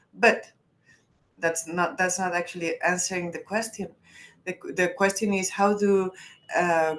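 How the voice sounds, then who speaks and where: Her pitch is medium for a woman. She talks at a fairly slow pace. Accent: Spanish. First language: Spanish. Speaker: journalist and commune activist. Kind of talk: webinar presentation. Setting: online webinar. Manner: halting, many restarts.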